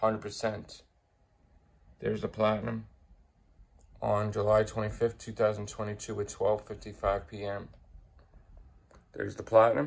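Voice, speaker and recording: A fairly low-pitched man with an American accent, long, frequent pauses, and big swings in loudness. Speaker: gaming youtuber. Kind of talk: casual video commentary. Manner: slow.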